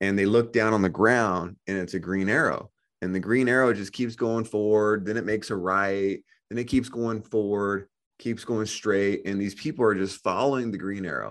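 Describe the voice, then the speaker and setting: In a normal speaking voice, a man talks at a moderate pace and fairly low pitch. His intonation stays fairly even, with a quiet background. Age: 30s. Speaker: financial education business owner. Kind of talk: interview. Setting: podcast interview.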